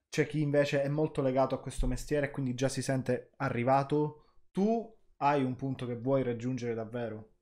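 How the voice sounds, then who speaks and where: Against a quiet background, a man talks at a fairly quick pace and medium pitch with ordinary pitch variation. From Palermo, Sicily; Sicily. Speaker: podcast host. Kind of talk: casual interview chat. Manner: animated, excitable. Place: home room.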